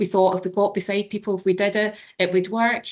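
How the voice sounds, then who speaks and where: A woman's medium-pitched voice at a moderate pace, with a Glasgow accent. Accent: Scottish (Glasgow). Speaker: senior children's services manager. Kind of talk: webinar panel talk.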